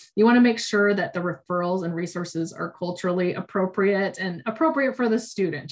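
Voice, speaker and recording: A woman with a fairly low pitch and ordinary pitch variation speaks over noticeable background noise. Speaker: education program manager. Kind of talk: online training presentation. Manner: fast; hesitant with many fillers.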